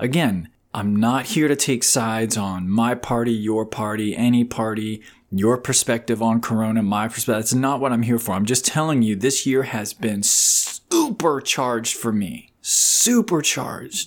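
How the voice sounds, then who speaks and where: A man with an ordinary speaking voice talks at a moderate pace with ordinary pitch variation. He leaves hardly any pauses. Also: medium pitch for a man, very clean recording, silent background. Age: 40s. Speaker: life coach podcaster. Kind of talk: solo monologue podcast. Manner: casual, laughing.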